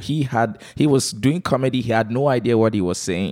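A man's medium-pitched voice at a moderate pace, with ordinary pitch variation and a dry, close sound free of echo. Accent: slight Nigerian. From Nigeria. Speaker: comedian and MC. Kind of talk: casual interview. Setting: at home. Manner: calm.

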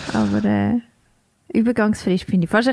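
A woman talks at a very fast pace with fairly even intonation. The sound is dry and close, with no echo. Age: 30s. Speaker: podcast co-host. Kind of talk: casual chat.

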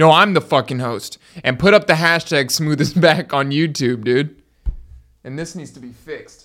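In an American accent, a man with an ordinary speaking voice talks at a fairly high pitch and a moderate pace, with ordinary pitch variation and big swings in loudness. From Miami, Florida. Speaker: podcast guest, gamer and musician. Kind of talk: casual banter, joking.

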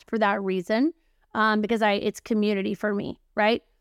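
At a moderate pace, a woman speaks in a plain, everyday voice at fairly high pitch, with a dry, close sound and no echo. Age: 40s. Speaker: publishing and marketing consultant, entrepreneur. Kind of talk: casual chat.

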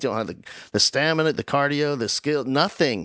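Talking at a very fast pace in an animated tone, a man with an American accent has a fairly high pitch. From New Jersey (South Jersey). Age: 50s. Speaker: podcast host. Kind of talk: casual chat.

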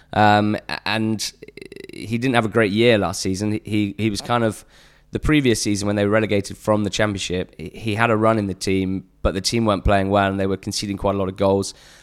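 A man with an English accent, fairly low in pitch, fairly quick in pace, monotone and flat in intonation. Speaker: podcaster covering lower-league football. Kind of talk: casual chat.

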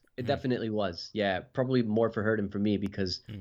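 A man speaks very fast with a New Jersey accent. His fairly low voice keeps a fairly even intonation. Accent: New Jersey American. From New Jersey, US (Puerto Rican parents). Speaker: pastor. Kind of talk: interview. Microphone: unstable internet connection.

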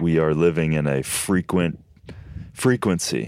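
A man with an American accent and a very deep, low pitch talks at a fairly slow pace with fairly even intonation. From Minnesota, US Midwest. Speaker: health and superfoods expert. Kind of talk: casual interview chat.

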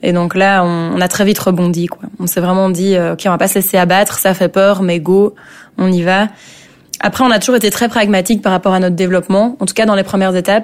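A woman speaks at a fairly quick pace with fairly even intonation and a medium pitch. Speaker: start-up founder. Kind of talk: interview. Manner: hesitant with fillers.

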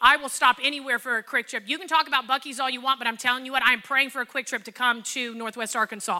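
A woman's raised, projected voice, high in pitch with a bright, sharp tone, animated and at a very fast pace, in a dry, close sound with no echo. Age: 40s. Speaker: pastor. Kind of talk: sermon.

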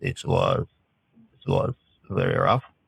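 A man with a Russian accent is heard with a dry, close sound and no echo. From Russian Caucasus (born in Kyiv, Ukraine). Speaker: ice climber. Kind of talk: interview. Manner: halting, with frequent repetitions.

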